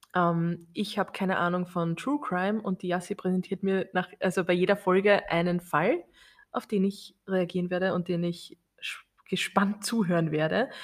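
This woman has a normal speaking voice. Her intonation stays fairly even. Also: medium pitch for a woman, moderate pace, very clean recording, silent background. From Austria. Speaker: podcast co-host. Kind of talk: casual chat.

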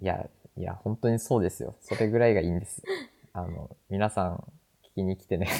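A man's very deep, low voice with a dark, mellow tone, fairly quick pace, big swings in loudness and ordinary pitch variation. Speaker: podcast host. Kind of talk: casual chat. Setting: remote recording.

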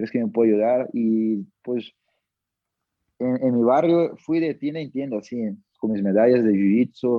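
This man's medium-pitched delivery is fairly slow, broken by long, frequent pauses, with pitch that varies in an ordinary way. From Brazil, Manaus. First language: Portuguese (speaking Spanish). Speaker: MMA fighter. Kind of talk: interview.

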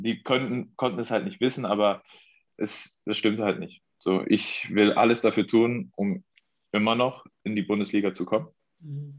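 A man with a plain, everyday voice speaks at a moderate pace and medium pitch, his intonation lively against a quiet background. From Mecklenburg-Vorpommern, Germany. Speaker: professional football goalkeeper. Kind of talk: interview.

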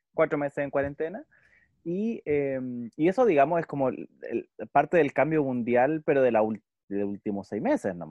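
With a Chilean accent, a man talks at a moderate pace and fairly high pitch, his intonation lively and his loudness swinging widely. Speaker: podcast co-host. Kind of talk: casual chat.

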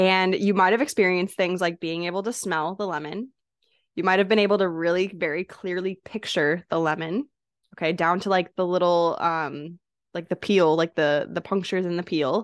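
Against a quiet background, a woman speaks in an animated tone at a fairly low pitch and moderate pace, the sound dry and close with no echo. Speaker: podcast host and coach. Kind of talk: guided meditation. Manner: casual, animated, chatty.

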